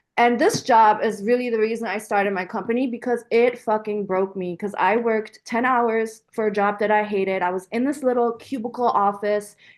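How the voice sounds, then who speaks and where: A woman with a German accent, fairly high-pitched, at a fairly quick pace with hardly any pauses. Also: fairly even intonation. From Germany until age 12, then Washington DC / Virginia area. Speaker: equestrian business owner. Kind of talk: interview. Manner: casual, filler-heavy.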